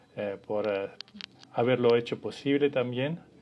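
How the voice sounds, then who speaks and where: A man with an Italian accent talks at a fairly slow pace in a medium pitch. His pitch varies in an ordinary way, with noticeable background noise behind him. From Italy. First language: Italian (speaking Spanish). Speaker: family constellations facilitator. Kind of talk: live stream talk. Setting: Instagram live. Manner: halting.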